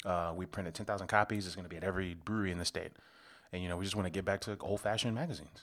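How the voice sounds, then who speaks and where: Speaking very fast with an American accent and fairly even intonation, the voice comes through on a very clean recording with a silent background. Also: man. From Chicago south suburbs. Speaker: beer podcast co-host. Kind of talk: casual chat.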